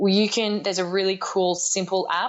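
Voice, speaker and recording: A woman with a fairly low pitch talks at a very fast pace over noticeable background noise. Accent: Australian. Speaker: life coach and speaker. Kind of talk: podcast interview.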